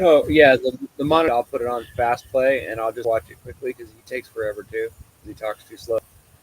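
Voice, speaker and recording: Over background music, the speech comes at a fairly quick pace with hardly any pauses, big swings in loudness and a dry, close sound with no echo. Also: man. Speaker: live stream co-host. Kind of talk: casual chat. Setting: live stream with chat. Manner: fast.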